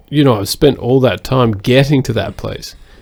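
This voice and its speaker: Speaking in an Australian accent, a man keeps a medium pitch with ordinary pitch variation. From Australia (Sydney). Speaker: podcast co-host. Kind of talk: casual chat.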